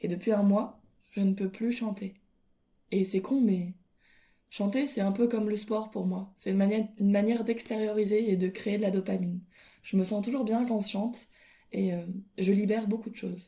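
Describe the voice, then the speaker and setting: Speaking at a moderate pace with long, frequent pauses, a woman uses a somewhat breathy voice of medium pitch and monotone, flat intonation. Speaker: podcaster. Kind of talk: casual monologue. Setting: at home alone. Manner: hesitant.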